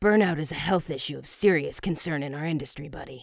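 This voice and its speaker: A woman's put-on character voice, growling at a very deep, low pitch, very fast, with big swings in loudness and ordinary pitch variation. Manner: chill, easygoing, says buddy.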